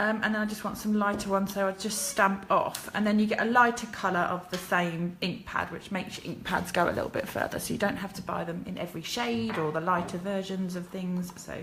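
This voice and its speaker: With an English accent, a woman talks at a fairly quick pace and medium pitch, with hardly any pauses. Room echo is audible and background noise is noticeable. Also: ordinary pitch variation. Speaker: card-making demonstrator. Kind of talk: crafting tutorial livestream. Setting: live video from her kitchen. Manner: chatty, hesitant with fillers.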